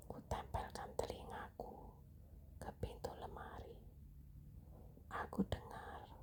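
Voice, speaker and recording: The speaker is whispering. The pace is very slow. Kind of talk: ASMR horror story narration, whispered bedtime storytelling. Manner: whispered, hushed.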